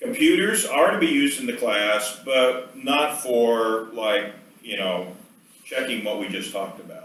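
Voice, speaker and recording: Room echo is audible as a man delivers his words at a moderate pace. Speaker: professor. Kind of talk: lecture.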